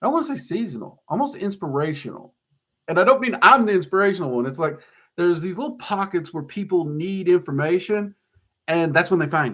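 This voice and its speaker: On a very clean recording with a silent background, a man with a Southern US accent and a high pitch talks very fast with lively intonation and big swings in loudness. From US South. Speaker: occult YouTuber and teacher. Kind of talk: live-stream Q&A chat. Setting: live stream on camera. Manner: casual, hesitant with fillers.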